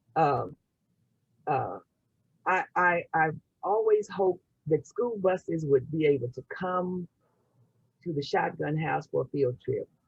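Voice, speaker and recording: Dry, close sound with no echo, a woman at fairly low pitch, somewhat breathy, fairly slow with long, frequent pauses and ordinary pitch variation. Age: 70s. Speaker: community historian. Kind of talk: webinar interview. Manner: halting, many repetitions.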